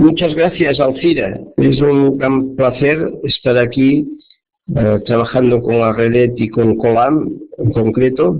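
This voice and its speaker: In a Catalan accent, a man speaks very slowly at very even loudness with ordinary pitch variation, and room echo can be heard. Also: medium pitch for a man. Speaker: professor and social epidemiologist. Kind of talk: lecture. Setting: web conference. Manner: slow, deliberate.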